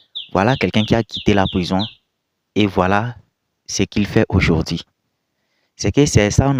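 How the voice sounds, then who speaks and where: On a very clean recording with a silent background, a man with a fairly low pitch sounds dry and close, without echo. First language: not French (speaking French). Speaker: video commentator. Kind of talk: reaction commentary.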